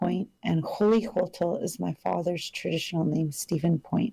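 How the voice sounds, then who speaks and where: The tone is dark and mellow, somewhat breathy. Delivery comes at a moderate pace. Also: woman. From British Columbia, Canada (Sto:lo, Chilliwack area). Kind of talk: radio interview. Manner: halting, many fillers.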